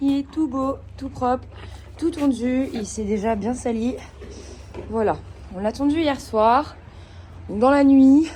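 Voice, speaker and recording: Amid noticeable background noise, a woman speaks in a high pitch with long, frequent pauses. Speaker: equestrian vlogger. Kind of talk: casual vlog chat. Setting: stables. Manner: hesitant, many fillers.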